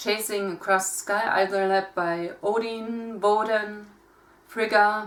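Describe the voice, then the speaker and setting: A woman with a German accent speaks at a very slow pace, her pitch sitting in the middle range. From Germany. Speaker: pagan content creator. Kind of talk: casual talk to camera.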